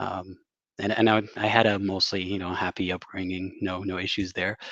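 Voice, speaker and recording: With an Arabic accent, a man speaks at a fairly quick pace in a dry, close sound with no echo and a quiet background. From Saudi Arabia. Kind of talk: interview. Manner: hesitant, many fillers.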